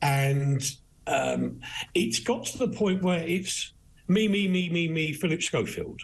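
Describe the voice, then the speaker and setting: A somewhat breathy male voice with very wide pitch swings, at a fairly slow pace. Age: 60s. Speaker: broadcaster, newspaper reviewer. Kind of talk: live news discussion, paper review. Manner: animated.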